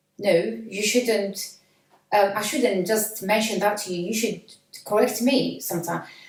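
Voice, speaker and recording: Long, frequent pauses mark the speech of a woman with a Flemish accent and a medium pitch, heard with audible room echo. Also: fairly even intonation, moderate pace. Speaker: parent of a student. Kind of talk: casual chat. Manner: halting.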